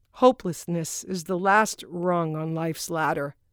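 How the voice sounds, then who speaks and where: On a very clean recording with a silent background and a dry, close sound with no echo, a woman with a fairly low pitch and ordinary pitch variation speaks in an unremarkable speaking voice. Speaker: audiobook author-narrator. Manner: intimate, somber and hushed in the suicide passages, with deliberate pauses; shifts to lighter, conversational tone in dialogue and joking moments.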